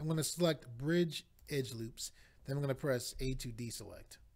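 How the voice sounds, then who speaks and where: Recorded very cleanly against a silent background, a man with a fairly high, somewhat breathy voice speaks at a moderate pace with ordinary pitch variation. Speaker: 3D modeling tutorial maker. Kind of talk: software tutorial. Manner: step-by-step instructional.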